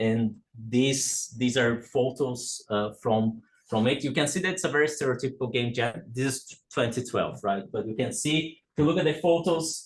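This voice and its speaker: His voice sits mid-range, with normal pitch movement. A man is talking, somewhat breathy. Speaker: academic speaker, game researcher. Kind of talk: conference talk. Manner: slow; hesitant, many fillers.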